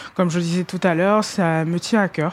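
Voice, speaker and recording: At a medium pitch, a woman speaks at a moderate pace with fairly even intonation. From Ivory Coast. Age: 30s. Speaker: rugby player. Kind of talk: interview. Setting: stadium, walking around. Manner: calm.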